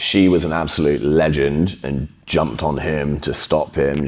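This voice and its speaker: Noticeable background noise sits under this recording. A man talks at a fairly slow pace in a very deep, low pitch. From England, Bristol. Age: 30s. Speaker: podcast guest, jiu-jitsu practitioner. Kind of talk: casual interview, personal story.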